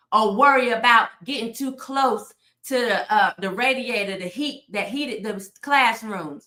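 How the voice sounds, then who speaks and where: A shouting woman, animated in tone, at a moderate pace. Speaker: political commentator. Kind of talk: live stream commentary. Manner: loud, yelling.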